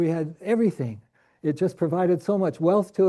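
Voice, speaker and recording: A man's high voice with a dark, mellow tone, ordinary pitch variation, and a Canadian accent. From Canada, Saskatchewan. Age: 70s. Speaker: professor. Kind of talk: lecture. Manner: halting.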